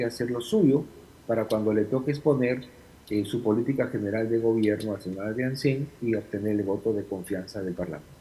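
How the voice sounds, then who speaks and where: Somewhat breathy male speech in a dark, mellow tone. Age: 60s. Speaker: former congressional official, political analyst. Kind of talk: interview.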